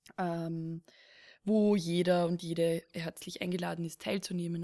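A woman's dark, mellow voice at a fairly low pitch, monotone and flat in intonation, at a fairly slow pace, the sound dry and close with no echo in a very clean recording with a silent background. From Lower Austria, rural. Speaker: podcast host. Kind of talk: casual chat. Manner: halting, many fillers.

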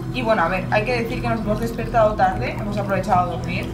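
A woman's voice against loud background noise. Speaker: travel vlogger. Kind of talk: casual vlog chat. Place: garden. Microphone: camera far.

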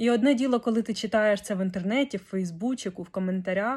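A woman with an unremarkable speaking voice, fairly high in pitch, at a moderate pace, on a very clean recording with a silent background. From Ukraine, Kyiv. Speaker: vlogger. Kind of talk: video diary.

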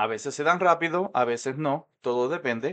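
Fairly high and fairly bright, a man's voice moves at a fairly slow pace with ordinary pitch variation.

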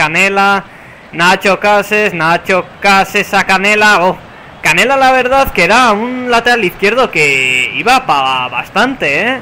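A man's raised, projected voice, high-pitched and animated, over noticeable background noise. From San Sebastián, Basque Country, Spain. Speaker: gaming YouTuber. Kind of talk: casual gameplay commentary. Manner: animated, play-by-play commentary.

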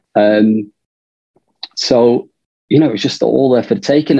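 In a northern English accent, a man talks at a moderate pace and medium pitch with ordinary pitch variation against a quiet background. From northern England. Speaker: film director. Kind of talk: interview. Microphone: video call.

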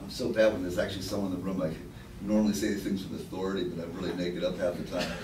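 Very deep, low male voice at a very fast pace, monotone and flat, with audible room echo and light background noise. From New York. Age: middle-aged. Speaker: writer and curator. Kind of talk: lecture. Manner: casual. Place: meeting room.

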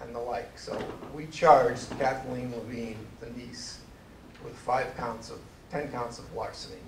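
A man at a fairly slow pace with fairly even intonation, over noticeable background noise. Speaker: presenter. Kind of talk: lecture. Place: hall.

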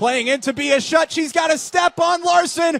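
A man shouting in an excited tone at an extremely high pitch, fairly slow pace, dry and close sound with no echo. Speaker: soccer commentator. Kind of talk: live sports commentary. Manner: excited, building to a celebratory call at the finish.

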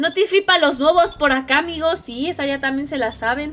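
This woman speaks at a moderate pace in a high pitch, with ordinary pitch variation. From Mexico, State of Mexico (Edomex). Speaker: gaming streamer. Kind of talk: live gaming stream chat. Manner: animated. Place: home room.

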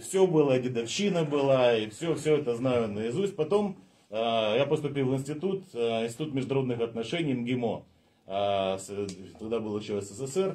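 With lively intonation and a dark, mellow tone, a man speaks at a moderate pace. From Chisinau, Moldova; Moldova. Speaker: constitutional lawyer, party candidate; constitutional lawyer, candidate. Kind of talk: live stream discussion. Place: meeting room. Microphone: webcam.

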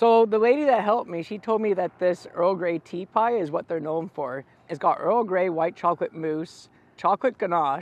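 A man's high-pitched voice with ordinary pitch variation and a dry sound with no echo. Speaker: food vlogger. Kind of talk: casual food review vlog chat. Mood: cheerful, playful. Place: open country. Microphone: lapel.

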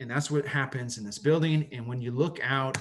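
Fairly high in pitch and somewhat breathy, a man speaks in an American accent with ordinary pitch variation. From Southern California (Los Angeles, Orange County). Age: 40s. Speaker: architect and professor. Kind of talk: slide presentation. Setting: video call.

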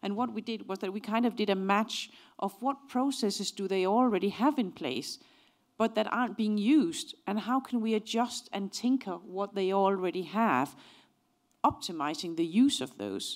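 Against a quiet background, a woman with a Danish accent talks at a moderate pace with lively intonation. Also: medium pitch for a woman. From Denmark. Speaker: organizational psychology professor. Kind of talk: lecture. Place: hall. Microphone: handheld.

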